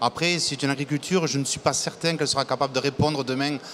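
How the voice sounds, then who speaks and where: Talking very fast with fairly even intonation, a man with a fairly high pitch is heard over noticeable background noise. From south-west France, Lot-et-Garonne. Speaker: agricultural business leader. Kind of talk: TV debate. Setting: TV set at an agricultural fair. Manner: halting, repeats words.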